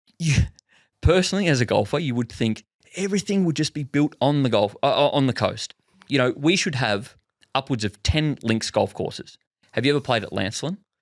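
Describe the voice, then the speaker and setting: A man's lively intonation with an Australian accent. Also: fairly high pitch for a man, fairly quick pace, dry, close sound with no echo. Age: young. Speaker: podcast host. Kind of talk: casual chat.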